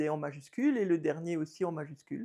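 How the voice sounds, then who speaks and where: The pitch is fairly low. A woman is the one talking. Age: 50s. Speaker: abstract painter and art teacher. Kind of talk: interview. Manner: hesitant, many fillers.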